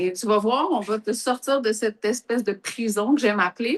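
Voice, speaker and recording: Somewhat breathy and at a fairly high pitch, a woman with a Quebec accent speaks at a fairly slow pace. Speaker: entrepreneur, coaching client. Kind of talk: testimony.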